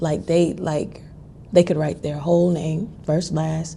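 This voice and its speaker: A woman speaks at a fairly slow pace with a very deep, low pitch. Her tone is dark and mellow, with vocal fry. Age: 40s. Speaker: vlogger. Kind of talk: casual talk to camera. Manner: conversational, humorous.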